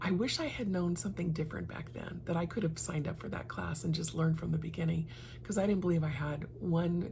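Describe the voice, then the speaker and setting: There is audible room echo as a woman talks at a fairly quick pace. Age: 60s. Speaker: lifestyle vlogger and realtor. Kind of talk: personal reflection vlog. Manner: conversational, with frequent fillers.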